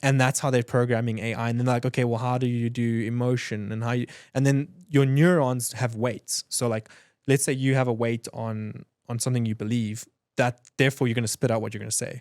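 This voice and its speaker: On a very clean recording with a silent background, a man with a South African accent speaks at a fairly quick pace and medium pitch, the sound dry and close with no echo. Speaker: entrepreneur, design agency owner. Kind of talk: podcast interview. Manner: fast, animated; stammering restarts.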